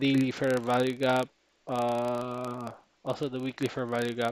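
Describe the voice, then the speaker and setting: With a non-native accent, a man talks in a flat, monotone, medium-pitched voice, the sound dry and close with no echo. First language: not English. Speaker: trading streamer. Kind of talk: live trading backtest tutorial. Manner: halting.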